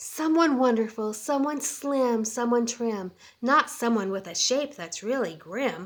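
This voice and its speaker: Using a put-on character voice, a woman speaks with a high pitch. Her pace is fairly slow. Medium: read story.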